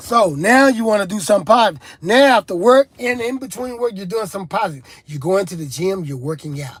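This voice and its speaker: A man at a very fast pace with a high pitch, an animated tone, very wide pitch swings, big swings in loudness and hardly any pauses. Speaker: rap artist and recovery talk show host. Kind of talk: motivational talk on addiction, live stream. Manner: animated, repetitive preaching style.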